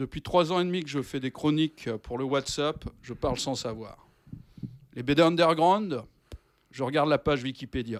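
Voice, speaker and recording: This man has a fairly high pitch and ordinary pitch variation, speaking at a moderate pace. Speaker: radio columnist. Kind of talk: radio show segment, partly scripted. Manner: loud.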